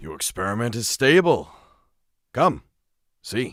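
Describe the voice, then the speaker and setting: In a put-on character voice, a man speaks at a medium pitch. His pace is fairly slow. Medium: virtual streamer.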